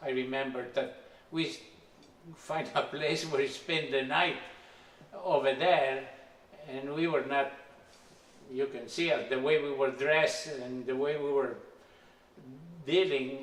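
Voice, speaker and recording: With long, frequent pauses, a man with a non-native accent speaks at a fairly high pitch, with audible room echo and noticeable background noise. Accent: foreign. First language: not English. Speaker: immigrant telling his life story. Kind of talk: life story interview. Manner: halting.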